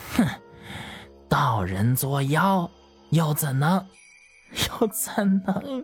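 In a put-on character voice, a woman speaks at a very slow pace and low pitch, with big pitch swings and a slightly husky edge, as faint music plays in the background.

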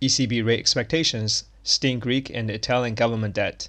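Against a quiet background, a man with a Chinese accent speaks in a medium pitch at a moderate pace. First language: Mandarin Chinese. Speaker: podcast host teaching English through news. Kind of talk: bilingual lesson explanation; news reading.

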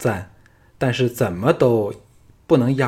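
This unforced reading voice shows ordinary variation in pitch.

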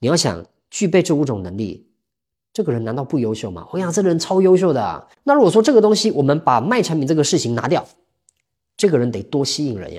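A man's very fast, fairly high-pitched speech with very wide pitch swings and big swings in loudness, on a very clean recording with a silent background. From Taiwan. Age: 30s. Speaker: sales coach and counselor. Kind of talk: interview.

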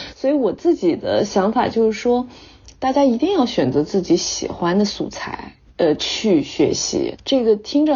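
A woman's fairly high voice with very wide pitch swings at a moderate pace. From China. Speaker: English-teaching social media creator and former actress. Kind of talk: interview.

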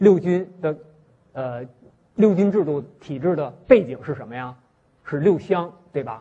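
A man's somewhat breathy voice at a moderate pace, with ordinary pitch variation. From Northeast China, Shenyang. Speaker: history professor. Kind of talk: university lecture. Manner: frequent filler sounds, hesitant.

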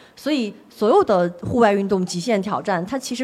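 This female speaker has an unremarkable speaking voice, talking at a moderate pace with ordinary pitch variation. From Jiangsu, eastern China. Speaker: mountaineer and explorer. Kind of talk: onstage interview before live audience. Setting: bookstore stage with audience.

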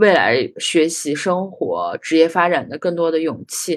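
An ordinary speaking voice at a moderate pace against a quiet background. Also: woman. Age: 30s. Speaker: anthropology graduate student. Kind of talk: casual chat.

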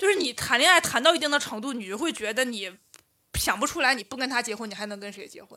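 With a bright, sharp tone and high pitch, a woman speaks at a fairly quick pace using lively intonation. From Northeast China. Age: 30s. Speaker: urban planner and amateur stand-up comedian. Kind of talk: casual chat.

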